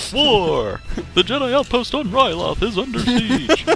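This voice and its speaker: At a moderate pace, someone performs a put-on character voice pitched fairly high. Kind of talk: old-time announcer. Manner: dramatic announcer.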